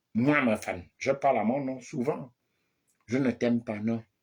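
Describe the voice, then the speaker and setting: A man talks at a fairly slow pace with medium pitch. The recording is very clean, with a silent background. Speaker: political commentator. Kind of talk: satirical monologue. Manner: loud.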